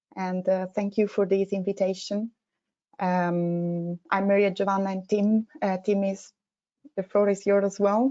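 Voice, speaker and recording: A woman speaks with an Italian accent at a moderate pace. Her medium pitch stays monotone and flat. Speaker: consultant. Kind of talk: webinar presentation.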